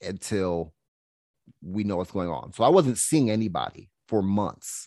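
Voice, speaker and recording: Against a quiet background, a man with a fairly low pitch talks in an animated tone with ordinary pitch variation, the sound dry and close with no echo. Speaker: health coach and podcaster. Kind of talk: casual interview conversation. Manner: animated, conversational, with filler words.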